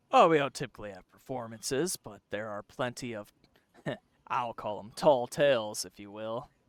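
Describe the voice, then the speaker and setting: Put-on character voice from a man, moderate pace. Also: medium pitch for a man. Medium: actual play.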